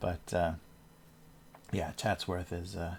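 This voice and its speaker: In an American accent, the voice is relaxed and carries vocal fry at a fairly slow pace. The recording is very clean with a silent background. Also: man. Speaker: cartoonist livestreamer. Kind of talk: casual livestream chat while drawing. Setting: livestream from home. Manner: relaxed, rambling with fillers.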